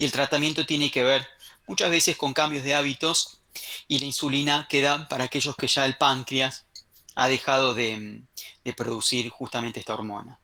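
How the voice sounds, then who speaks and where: A man's bright, sharp tone sits at a medium pitch, with fairly even intonation. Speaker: medical lecturer. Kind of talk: online lecture. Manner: fast.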